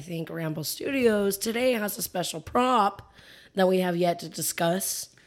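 Fairly slow in pace, this is a plain, everyday voice. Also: woman. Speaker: guest co-host. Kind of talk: casual chat. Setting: studio.

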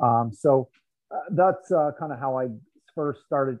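Here is a man with an unremarkable speaking voice and a Canadian accent. His pitch is medium and varies in an ordinary way. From Canada, Toronto area. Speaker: sports nutrition industry figure. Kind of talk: interview conversation.

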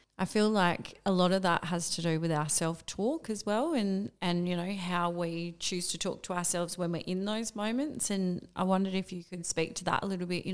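With an unremarkable speaking voice, a woman talks at a moderate pace, fairly low pitch and fairly even intonation, on a very clean recording with a silent background. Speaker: podcast host. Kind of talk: casual interview chat.

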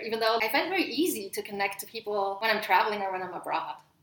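Someone speaks at a very fast pace amid noticeable background noise. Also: woman. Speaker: podcast host, dog trainer. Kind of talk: casual chat. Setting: in person at a home.

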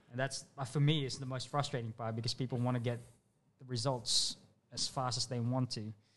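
At a fairly quick pace, a man speaks at a medium pitch with monotone, flat intonation. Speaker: podcast co-host. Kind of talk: casual chat.

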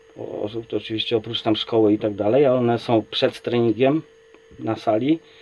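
Noticeable background noise sits behind a man talking at a medium pitch. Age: 40s. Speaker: kettlebell athlete and coach. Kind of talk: casual chat.

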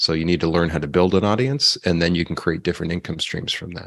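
With a Canadian accent, this man has a very deep, low voice and a bright, sharp tone. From Canada. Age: 40s. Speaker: business consultant and author. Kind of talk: interview.

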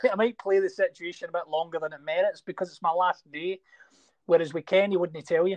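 A man with a Scottish accent talks at a very fast pace and high pitch, with fairly even intonation and big swings in loudness, in a dry, close sound with no echo. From Scotland. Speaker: actor. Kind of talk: interview.

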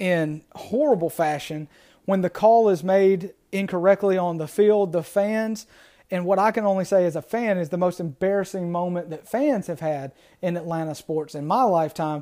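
With an American accent, a man talks in a high-pitched voice with a dark, mellow tone and ordinary pitch variation. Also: very clean recording, silent background. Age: 30s. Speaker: sports podcast host. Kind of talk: solo sports commentary podcast.

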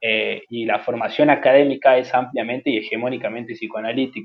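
At a fairly quick pace, a man with an unremarkable speaking voice talks at a medium pitch. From Jujuy, northern Argentina. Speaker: psychologist. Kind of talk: interview.

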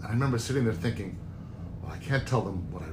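Somewhat breathy, a man with an American accent speaks with lively intonation amid audible room echo. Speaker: Broadway producer. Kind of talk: interview.

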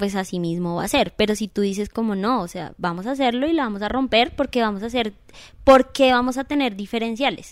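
A fairly quick pace in a normal speaking voice, its pitch variation ordinary. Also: woman. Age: 30s. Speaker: dance studio owner. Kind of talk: casual interview.

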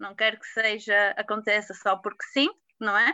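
A woman talks fairly slowly at a fairly high pitch. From Portugal, Porto. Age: 20s. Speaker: patient sharing illness story. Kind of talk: interview testimony.

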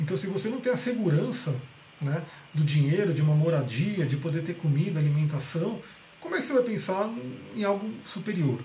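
A man talks with a fairly high pitch and ordinary pitch variation. Audible room echo and noticeable background noise surround his voice. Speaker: holistic therapy teacher. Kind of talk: live online class. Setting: video call. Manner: fast.

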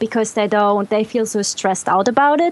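In a German accent, a woman with a fairly high pitch talks with ordinary pitch variation. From Germany.

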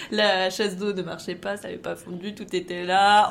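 Here a woman speaks in a normal speaking voice at a medium pitch. Her pace is fairly quick. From Champagne-Ardenne, France. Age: 30s. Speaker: IT worker. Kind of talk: casual anecdote testimony.

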